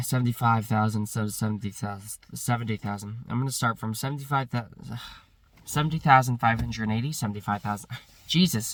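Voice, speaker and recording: A man talks at a very fast pace in a medium pitch with fairly even intonation. Music plays in the background. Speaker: YouTuber counting numbers. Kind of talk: counting aloud.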